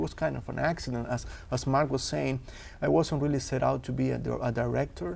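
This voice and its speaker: Speaking very fast, a man talks with a Uruguayan accent. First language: Spanish. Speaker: filmmaker. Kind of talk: talk show interview.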